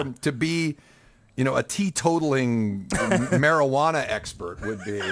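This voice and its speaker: A man with an ordinary speaking voice talks at a fairly slow pace. His pitch sits fairly high for a man, and his intonation is lively. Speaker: podcast host. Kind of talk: casual podcast banter.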